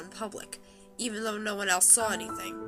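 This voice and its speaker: A woman at a fairly quick pace, lively in intonation, with music in the background. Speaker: creepypasta narrator. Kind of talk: horror story narration.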